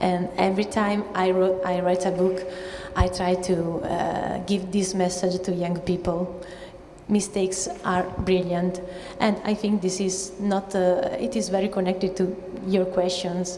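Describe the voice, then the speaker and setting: An Italian accent, monotone and flat intonation, and very even loudness, with noticeable background noise and audible room echo. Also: woman, medium pitch for a woman, fairly slow pace. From Italy. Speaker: children's author. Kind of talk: panel talk. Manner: halting.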